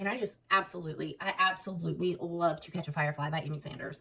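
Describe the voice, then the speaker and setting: In a Southern US accent, a woman talks at a very fast pace with fairly even intonation. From US South, South Alabama. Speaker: book vlogger. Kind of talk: casual chat.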